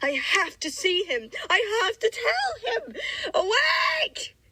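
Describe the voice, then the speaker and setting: A put-on character voice from a woman, extremely high in pitch, with very wide pitch swings and a very slow pace. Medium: read story.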